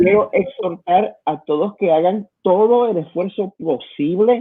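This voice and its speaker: A man with a Puerto Rican accent speaks at a fairly slow pace, his high voice full of lively intonation. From Puerto Rico. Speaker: pastor. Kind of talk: sermon-style exhortation in online service. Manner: halting, many repetitions and fillers.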